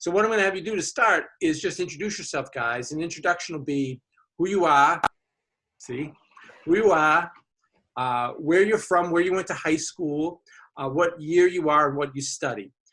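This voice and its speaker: Bright and sharp in tone, a man with a Boston accent speaks at a high pitch. His pace is moderate and his pitch variation ordinary. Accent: thick Boston. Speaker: college admissions officer, panel moderator. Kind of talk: webinar moderation. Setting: video webinar.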